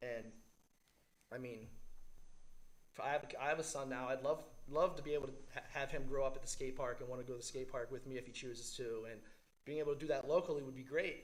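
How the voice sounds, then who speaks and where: A man with an American accent talks at a very fast pace in a medium pitch, his intonation fairly even, with long, frequent pauses and audible room echo. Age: 40s. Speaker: public commenter at county meeting. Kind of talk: public comment. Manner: halting, stuttering.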